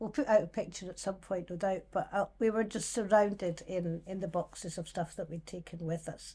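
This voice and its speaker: The voice has a dark, mellow tone, is somewhat breathy, and swings widely in loudness. Its intonation stays fairly even as it moves at a fairly quick pace with hardly any pauses. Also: woman, medium pitch for a woman. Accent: Scottish. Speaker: singer and musician. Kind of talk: casual chat.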